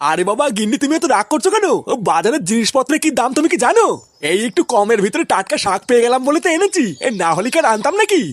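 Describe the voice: In a put-on character voice, a man speaks fast with few pauses, his pitch extremely high and swinging a lot.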